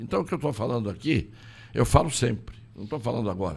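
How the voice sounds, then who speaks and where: A man's medium-pitched voice with vocal fry moves through very wide pitch swings. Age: 80s+. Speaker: lawyer and political candidate. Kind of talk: interview. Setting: studio.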